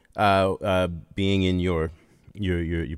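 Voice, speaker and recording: With an unremarkable speaking voice and a fairly low pitch, a man talks at a fairly slow pace in a dry, close sound with no echo. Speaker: sportscaster and producer. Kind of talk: casual chat.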